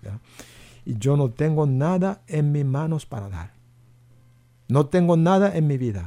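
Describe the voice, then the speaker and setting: A man with a Korean accent speaks at a fairly slow pace in a somewhat breathy, dark, mellow tone, his fairly high pitch moving in very wide swings. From South Korea. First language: Korean (speaking Spanish). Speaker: pastor. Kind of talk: radio interview.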